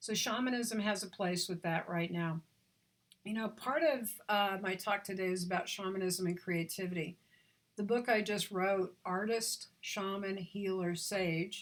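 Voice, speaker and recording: An unremarkable speaking voice from a woman, medium in pitch and fairly slow in pace. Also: fairly even intonation. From Oklahoma, US. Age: 60s. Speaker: visionary artist and author. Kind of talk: talk on spirituality.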